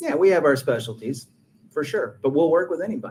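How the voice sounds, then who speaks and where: A man talks with a slight Texas accent. His pitch is fairly high. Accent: slight Texas twang. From Texas, rural. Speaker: realtor. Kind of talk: webinar presentation. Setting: video call webinar.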